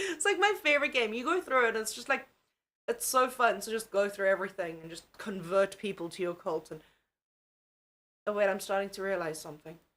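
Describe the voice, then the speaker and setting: Her bright, sharp voice at a medium pitch for a woman swings very widely in pitch and loudness, moving at a fairly quick pace broken by long, frequent pauses. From South Africa. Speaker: streamer covering true crime. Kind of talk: casual live stream chat. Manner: animated, scattered.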